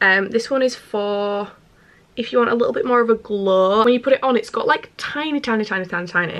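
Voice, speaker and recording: A woman's fairly high voice with an animated tone, a moderate pace and ordinary pitch variation. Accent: Yorkshire. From Yorkshire, northern England. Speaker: beauty and lifestyle vlogger. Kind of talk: casual vlog chat. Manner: chatty, animated.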